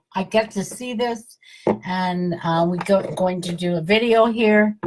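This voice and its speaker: A woman speaks in a fairly low, somewhat breathy voice. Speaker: wellness network marketer hosting live video. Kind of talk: live stream talk to viewers. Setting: live video broadcast. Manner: halting, many fillers.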